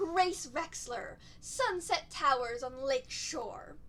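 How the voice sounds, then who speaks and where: A woman puts on a whiny character voice, high-pitched and with lively intonation. She speaks at a very slow pace over clear background noise. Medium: read story. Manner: whining coo.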